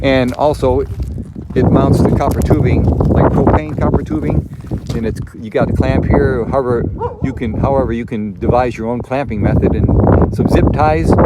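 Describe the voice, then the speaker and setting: A man at a medium pitch with lively intonation and a moderate pace, amid audible room echo and noticeable background noise. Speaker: camping video maker. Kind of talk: tutorial. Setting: outdoors. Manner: loud; casual, halting with fillers.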